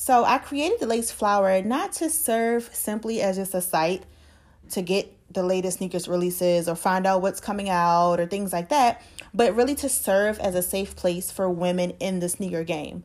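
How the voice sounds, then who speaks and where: A woman speaks with an American accent at a medium pitch. Her pitch varies in an ordinary way. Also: moderate pace. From Baltimore, Maryland. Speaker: podcast host. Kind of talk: monologue introduction. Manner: casual, with laughs.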